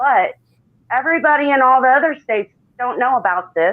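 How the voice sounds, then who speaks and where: Using a plain, everyday voice with an American accent, a woman talks at a moderate pace with lively intonation. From Illinois. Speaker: political activist. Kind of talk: presentation.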